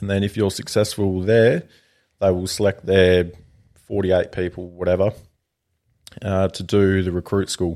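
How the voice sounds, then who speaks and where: Over a very clean recording with a silent background, a man with an Australian accent speaks at a moderate pace with long, frequent pauses, his very deep, low voice dark and mellow in tone and monotone, flat in intonation. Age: 20s. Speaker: firefighter. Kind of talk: interview.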